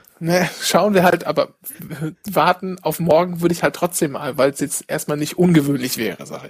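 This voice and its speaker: At a moderate pace, a man with a high pitch speaks with fairly even intonation but big swings in loudness. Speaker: podcast co-host. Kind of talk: casual chat.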